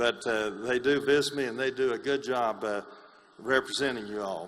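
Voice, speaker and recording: A man speaks with an East Tennessee accent. His pitch is medium and his pace moderate. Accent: East Tennessee Southern. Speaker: congressman. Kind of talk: speech at a meeting.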